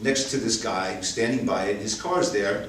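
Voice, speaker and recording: With an American accent, a man speaks at a medium pitch and with lively intonation, amid noticeable background noise and audible room echo. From New York City (Queens). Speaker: storyteller. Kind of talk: stage storytelling.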